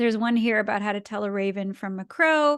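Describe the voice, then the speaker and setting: At a fairly quick pace, a woman talks in a plain, everyday voice with a fairly high pitch and ordinary pitch variation. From Canada, Ottawa. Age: 30s. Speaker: cartoonist and science communicator. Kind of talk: illustrated talk. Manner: casual, with fillers.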